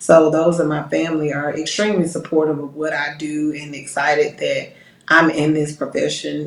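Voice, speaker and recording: Noticeable background noise sits behind a woman with an American accent. She speaks at a moderate pace in a very deep, low pitch. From US South, Georgia (Decatur, metro Atlanta). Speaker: police captain. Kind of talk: interview.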